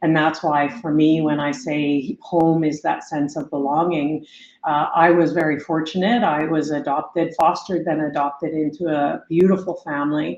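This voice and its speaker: Speaking with a Canadian accent, a woman has a very deep, low pitch, fairly even intonation and a moderate pace. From northern British Columbia, Kitimat. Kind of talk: interview. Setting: podcast. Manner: hesitant with fillers.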